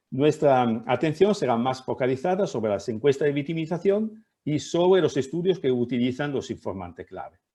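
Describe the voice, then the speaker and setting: An Italian accent marks this man's moderate-paced speech, which has hardly any pauses, a dark, mellow tone and very wide pitch swings. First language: Italian (speaking Spanish). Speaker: professor. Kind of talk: lecture. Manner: halting.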